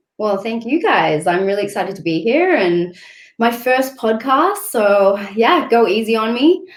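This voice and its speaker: A woman with an Australian accent and a fairly high pitch, at a fairly slow pace, with very wide pitch swings. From Australia, Sydney northern beaches. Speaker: travel blogger and photographer. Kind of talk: podcast interview.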